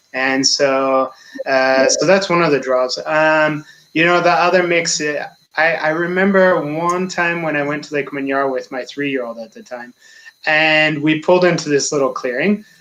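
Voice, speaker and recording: A man with an American accent speaks at a moderate pace. His voice is fairly high, bright and sharp, with ordinary pitch variation. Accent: American accent, slightly altered by French. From United States. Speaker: safari guide. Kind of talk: interview.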